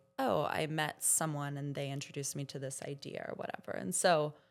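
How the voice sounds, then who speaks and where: A woman with an American accent, music in the background. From Florida. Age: 30s. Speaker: journalist and podcast host. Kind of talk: casual chat. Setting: stage with audience.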